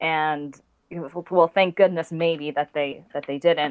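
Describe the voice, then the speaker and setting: At a moderate pace, a woman speaks in a normal speaking voice, fairly low in pitch and with fairly even intonation. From Texas. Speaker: podcast guest. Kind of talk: casual chat.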